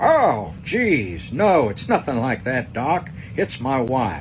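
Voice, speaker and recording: A man uses a put-on character voice at a medium pitch and a very slow pace. Clear background noise can be heard. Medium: read story.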